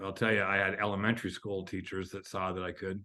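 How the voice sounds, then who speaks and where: Over a quiet background, a man with a Californian accent talks very fast in a fairly low, bright and sharp voice with flat, monotone intonation. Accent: General American (California). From California, high desert small town. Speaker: author and education speaker. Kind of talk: interview conversation. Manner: halting, repeated words.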